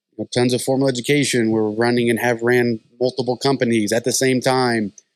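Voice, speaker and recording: With an American accent, a man talks at a very fast pace, his medium pitch carrying fairly even intonation. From US South. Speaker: podcast co-host. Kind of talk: casual chat.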